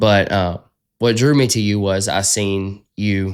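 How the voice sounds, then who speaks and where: In a strong Southern US accent, a man speaks at a fairly low pitch with fairly even intonation. The recording is very clean, with a silent background. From US South. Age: 20s. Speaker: podcast host. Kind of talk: casual interview chat.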